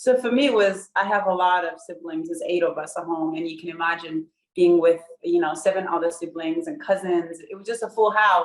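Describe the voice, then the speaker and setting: With a Burundian accent, a woman with a fairly low voice speaks at a fairly quick pace, showing ordinary pitch variation and big swings in loudness. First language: Kirundi. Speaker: professional runner, Olympian. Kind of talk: interview.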